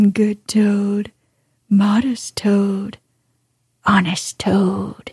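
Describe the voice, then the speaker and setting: Using a put-on character voice, a woman talks very slowly in a squeaky, medium-pitched monotone, with long, frequent pauses and a dry, close sound free of echo. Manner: mocking, pompous speechmaking.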